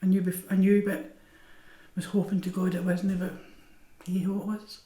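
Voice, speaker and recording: In a Scottish accent, a woman talks at a moderate pace in a somewhat breathy, dark, mellow tone at a medium pitch with fairly even intonation. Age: 70s. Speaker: cancer patient. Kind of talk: documentary interview.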